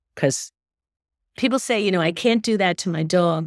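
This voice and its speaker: A woman with a normal speaking voice talks at a moderate pace, using ordinary pitch variation. The recording is very clean and dry, close with no echo and a silent background. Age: 60s. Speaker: dog behavior expert. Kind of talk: podcast interview.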